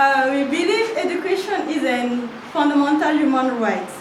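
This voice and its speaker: A woman with a non-native accent speaks fairly slowly at a high pitch with lively intonation, amid audible room echo and noticeable background noise. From French-speaking West Africa. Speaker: NGO admin officer and youth activist. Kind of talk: prepared speech at workshop. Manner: halting, many fillers.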